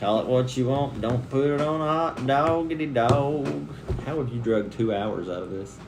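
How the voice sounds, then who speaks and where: A medium-pitched man with a Southern US accent at a moderate pace, with audible room echo and noticeable background noise. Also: ordinary pitch variation. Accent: Southern accent, milder than wife's. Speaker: family vlogger. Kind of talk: casual chat.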